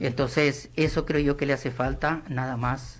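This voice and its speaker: Vocal fry at a moderate pace, with fairly even intonation. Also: man. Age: 60s. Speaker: political commentator, former government worker. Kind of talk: radio interview.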